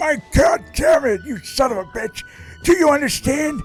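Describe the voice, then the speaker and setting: With faint music in the background, a man performs a put-on character voice at a moderate pace. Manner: angry, shouting.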